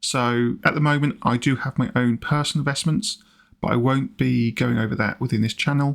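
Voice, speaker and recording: Speaking at a fairly quick pace, a man with a British accent uses ordinary pitch variation. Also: medium pitch for a man, very even loudness. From UK. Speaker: personal finance YouTuber. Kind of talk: vlog-style explanation.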